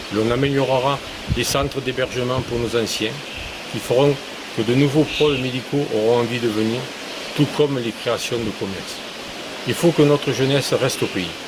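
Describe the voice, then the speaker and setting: Against noticeable background noise, a man speaks at a moderate pace with fairly even intonation and long, frequent pauses. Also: medium pitch for a man. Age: 60s. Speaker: retired construction foreman, municipal election candidate. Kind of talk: prepared campaign self-introduction. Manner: formal.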